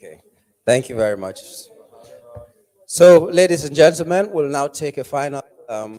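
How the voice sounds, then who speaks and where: A man with a Nigerian accent speaks at a moderate pace in a fairly high voice with lively intonation. He takes long, frequent pauses, and his loudness swings widely. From Nigeria, Cross River State. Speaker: TV news anchor and event MC. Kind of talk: event emceeing.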